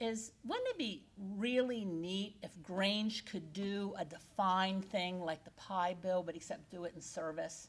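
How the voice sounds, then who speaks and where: A woman's medium-pitched voice in a central Pennsylvania accent, very slow in pace, with ordinary pitch variation. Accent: central Pennsylvania American. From central Pennsylvania (Juniata County). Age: 60s. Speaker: keynote speaker, agricultural educator. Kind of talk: keynote speech. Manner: animated.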